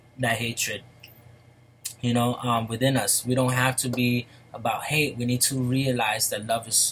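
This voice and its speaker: Flat, monotone intonation from a man at medium pitch, with noticeable background noise. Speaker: vlogger. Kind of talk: casual monologue. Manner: slow; halting.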